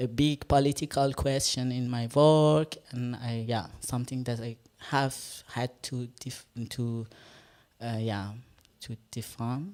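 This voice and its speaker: A woman with an Iranian accent speaks in a dark, mellow tone at a very deep, low pitch, with ordinary pitch variation. Her pace is very slow with long, frequent pauses, in a very clean recording with a silent background. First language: Farsi. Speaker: performance artist. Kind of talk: panel discussion. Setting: stage with live audience. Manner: halting.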